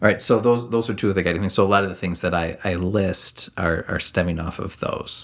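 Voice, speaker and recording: An ordinary speaking voice from a man, fairly low in pitch, at a fairly quick pace with hardly any pauses and fairly even intonation. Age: 30s. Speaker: podcast co-host. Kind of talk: casual chat.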